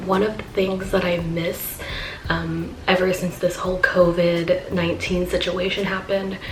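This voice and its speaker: The voice is soft-spoken. Audible room echo and noticeable background noise surround it. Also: woman. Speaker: cooking vlogger. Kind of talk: casual vlog chat.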